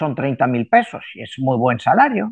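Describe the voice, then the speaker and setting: A man is speaking. His pace is fairly slow. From Spain. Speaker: numerologist. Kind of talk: interview. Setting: video call.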